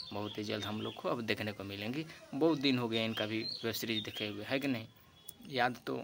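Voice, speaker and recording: Noticeable background noise accompanies a man speaking at a moderate pace with ordinary pitch variation. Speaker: entertainment news vlogger. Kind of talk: casual vlog chat. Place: garden. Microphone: phone near.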